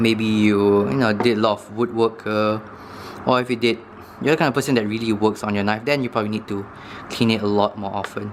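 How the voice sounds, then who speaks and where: A man speaks very fast in a fairly low pitch, with fairly even intonation. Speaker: knife review youtuber. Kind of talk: tutorial. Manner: casual, hesitant with fillers.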